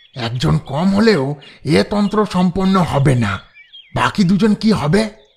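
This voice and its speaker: Putting on a character voice, a man speaks at a moderate pace in a high pitch with lively intonation. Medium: audio drama. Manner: eager, deferential.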